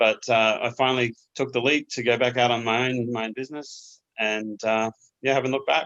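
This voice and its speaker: Flat and monotone, a man with an Australian accent speaks at a moderate pace. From Australia, Queensland. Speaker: small business owner, cabinet maker. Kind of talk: interview.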